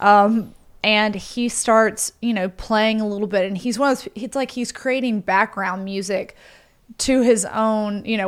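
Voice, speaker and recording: The speaker has a Southern US accent and a moderate pace. Intonation stays fairly even, and the recording is very clean with a silent background. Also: woman. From US South, Mississippi. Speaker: podcast host. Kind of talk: casual chat.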